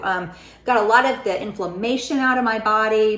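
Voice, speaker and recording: Audible room echo surrounds a woman speaking at a moderate pace in a fairly high voice with ordinary pitch variation. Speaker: weight loss vlogger. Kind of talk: casual vlog talk.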